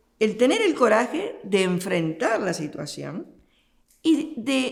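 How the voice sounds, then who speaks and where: At a very slow pace, a woman with an Argentine accent speaks with very wide pitch swings. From Argentina. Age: 70s. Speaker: nun. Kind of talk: interview. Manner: hesitant, with fillers.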